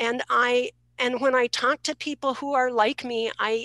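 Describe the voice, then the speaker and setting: A woman speaks in a high pitch with a bright, sharp tone, her dry sound carrying no echo over a quiet background. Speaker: participant asking question. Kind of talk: panel discussion question. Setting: video call. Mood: earnest, somewhat hesitant. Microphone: video call.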